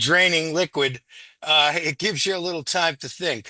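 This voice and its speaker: With a bright, sharp tone, a man speaks at a moderate pace in a fairly high pitch and ordinary pitch variation. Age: 70s. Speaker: community member sharing recovery story. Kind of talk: casual group video chat. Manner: halting, many fillers.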